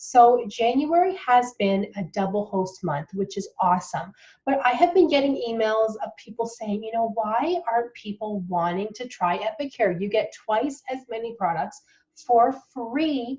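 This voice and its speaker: A somewhat breathy woman's voice with a dark, mellow tone, fairly high pitch, lively intonation and a fairly slow pace. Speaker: direct sales consultant. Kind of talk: tutorial. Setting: home office.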